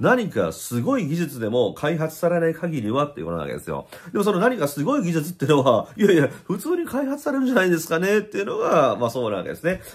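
The delivery is animated and very fast, with hardly any pauses. The pitch swings very widely. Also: man, high pitch for a man. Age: 50s. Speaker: spiritual YouTuber and blogger; spiritual YouTuber, blogger. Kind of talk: casual vlog monologue. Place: home room. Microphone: phone near.

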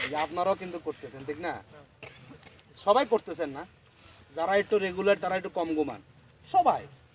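Noticeable background noise sits behind this recording. A man speaks in a high voice with ordinary pitch variation. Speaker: student organization leader. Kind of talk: speech to members. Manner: conversational.

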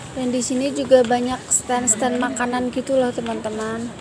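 Noticeable background noise accompanies a woman talking at a fairly slow pace. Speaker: amateur vlogger. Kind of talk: casual vlog chat. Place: street.

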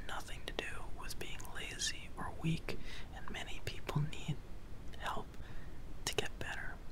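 Noticeable background noise behind a man speaking at a fairly slow pace. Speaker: ASMR and mental health video host. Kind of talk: ASMR whispered educational narration. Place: home room. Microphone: studio mic.

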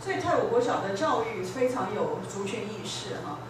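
A woman speaks at a moderate pace with very wide pitch swings, with audible room echo and noticeable background noise. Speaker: invited guest lecturer. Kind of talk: classroom introduction and discussion. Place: classroom.

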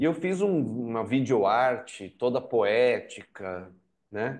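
A man speaks at a very slow pace. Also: quiet background. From Americana, interior of São Paulo state, Brazil. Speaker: novelist and journalist. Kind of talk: interview.

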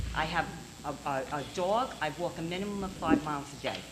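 A woman talks with a fairly low pitch and very wide pitch swings. Music plays behind her. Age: 70s. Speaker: property owner applying for variance. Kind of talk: public hearing testimony.

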